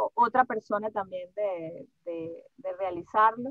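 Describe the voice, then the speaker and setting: A woman speaks at a very slow pace. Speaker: voice actress. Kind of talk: interview answer.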